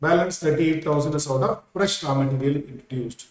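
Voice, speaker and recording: A man's voice, fairly high-pitched. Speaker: accounting teacher. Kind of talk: lecture. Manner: slow; repetitive.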